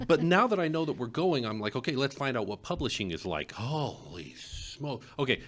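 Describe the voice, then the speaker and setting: With vocal fry and a fairly high pitch, a man talks at a moderate pace, his pitch swinging very widely and hardly any pauses breaking his speech. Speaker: librarian and podcast host. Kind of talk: casual chat.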